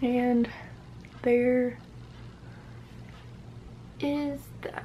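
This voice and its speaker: A woman speaks softly at a high pitch. Her intonation is monotone and flat, with noticeable background noise. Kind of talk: ASMR makeup routine talking to camera. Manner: soft-spoken.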